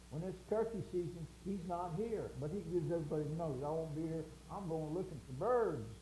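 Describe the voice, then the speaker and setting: In a Southern US accent, a man talks at a moderate pace and fairly high pitch with ordinary pitch variation, amid noticeable background noise and audible room echo. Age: 70s. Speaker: show host. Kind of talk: casual chat.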